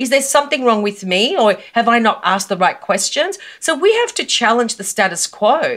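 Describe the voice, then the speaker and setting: Using lively intonation, a woman with an Australian accent talks at a moderate pace in a high-pitched voice. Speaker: personal brand coach. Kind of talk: interview. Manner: emphatic.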